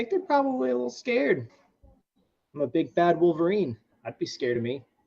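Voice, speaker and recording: A man puts on a character voice, gravelly and growling, at a high pitch with very wide pitch swings and a very fast pace. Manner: boastful, gruff.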